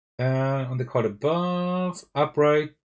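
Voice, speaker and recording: A man speaks at a fairly high pitch with very wide pitch swings and a somewhat breathy voice. The recording is very clean, the background silent. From Germany. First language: German. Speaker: board game youtuber. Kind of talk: live game playthrough. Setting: livestream with face cam and laptop. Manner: thinking aloud, hesitant.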